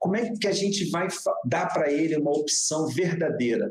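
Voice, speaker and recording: Speaking at a fairly slow pace, a man uses a normal speaking voice pitched fairly high. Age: 50s. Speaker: digital entrepreneur. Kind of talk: casual interview conversation. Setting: live stream broadcast.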